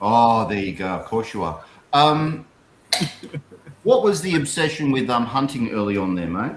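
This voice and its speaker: A man with an Australian accent, medium-pitched, his pitch swinging very widely, at a moderate pace with long, frequent pauses. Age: 50s. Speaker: livestream host. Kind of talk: livestream interview, casual chat.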